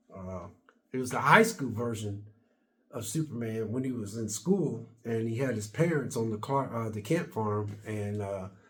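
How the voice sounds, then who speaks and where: Audible room echo surrounds a man speaking at medium pitch. He keeps a moderate pace with ordinary pitch variation. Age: 60s. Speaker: YouTuber. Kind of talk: casual vlog monologue. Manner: halting, repetitive.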